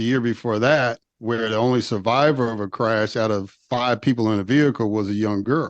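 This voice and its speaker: Over a quiet background, a man with an unremarkable speaking voice talks at medium pitch with fairly even intonation, the sound dry and close with no echo. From US Midwest, Chicago. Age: 50s. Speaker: former state legislator. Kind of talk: interview.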